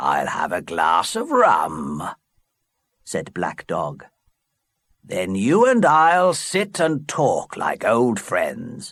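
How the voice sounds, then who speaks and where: A man's put-on character voice at a very slow pace. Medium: read story.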